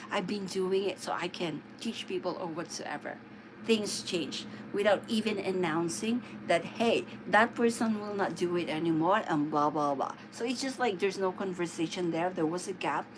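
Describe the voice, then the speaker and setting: A woman speaks with a Filipino accent at a medium pitch. Noticeable background noise is present. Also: ordinary pitch variation, moderate pace. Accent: Filipino-accented English (immigrant English). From Philippines. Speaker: live streamer. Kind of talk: casual livestream chat. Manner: halting, many fillers.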